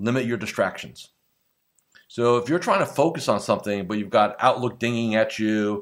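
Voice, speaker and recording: In a very clean recording with a silent background, a man with a normal speaking voice talks at a fairly quick pace, medium in pitch with ordinary pitch variation. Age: 50s. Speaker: business coach for financial advisors. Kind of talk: solo podcast monologue. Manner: casual, frequent filler words.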